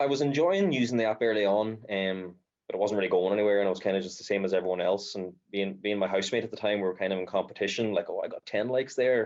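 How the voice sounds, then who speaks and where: In an Irish accent, a man talks at a very fast pace. His pitch is fairly low, with ordinary pitch variation. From rural Ireland. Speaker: social media creator. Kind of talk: casual chat.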